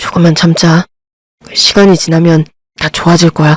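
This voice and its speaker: Putting on a character voice, a man speaks in a high pitch with monotone, flat intonation at a moderate pace, the sound dry and close with no echo. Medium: audio drama. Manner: weak, placating.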